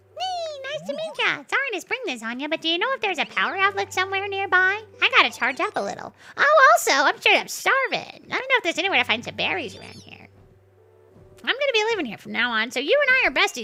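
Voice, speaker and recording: A woman puts on a character voice at an extremely high pitch. She talks very fast, with very wide pitch swings. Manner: friendly, chatty.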